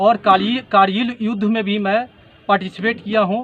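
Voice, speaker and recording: A man speaks at a moderate pace in a high pitch. His intonation is monotone and flat. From Bihar, West Champaran. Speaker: politician, air force veteran. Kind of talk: interview.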